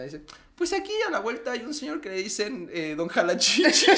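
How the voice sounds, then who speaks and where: Over noticeable background noise and audible room echo, a man talks fairly quickly with a Mexico City accent, his pitch swinging very widely. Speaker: podcast co-host. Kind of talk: casual chat.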